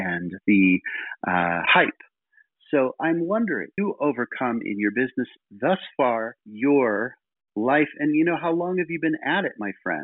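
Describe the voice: In a dry, close sound with no echo, a man at medium pitch talks at a fairly slow pace with lively intonation.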